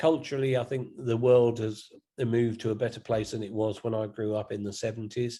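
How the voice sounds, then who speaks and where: A man speaks with a southern English accent in a dark, mellow tone. His intonation is monotone and flat. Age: 60s. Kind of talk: interview. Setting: video call.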